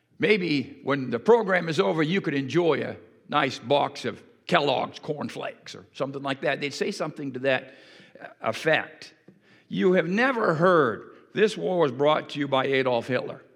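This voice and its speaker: A man with an unremarkable speaking voice, fairly high in pitch, with lively intonation at a moderate pace. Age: 60s. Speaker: pastor. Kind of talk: sermon. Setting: church.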